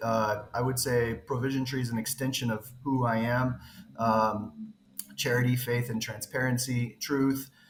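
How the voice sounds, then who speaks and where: A man's medium-pitched voice with an American accent, fairly even intonation, a moderate pace, and noticeable background noise. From western US. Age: 40s. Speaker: crypto project founder. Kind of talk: interview. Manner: halting.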